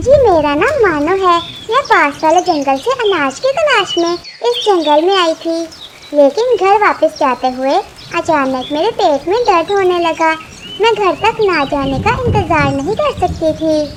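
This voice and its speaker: A woman's cartoonish character voice at an extremely high pitch with very wide pitch swings, over clear background noise. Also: moderate pace. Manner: polite, meek.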